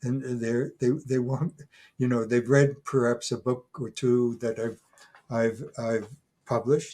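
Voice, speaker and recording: The man speaks at medium pitch with fairly even intonation. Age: 80s+. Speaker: retired professor and folklore scholar. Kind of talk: interview. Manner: halting, many fillers and restarts.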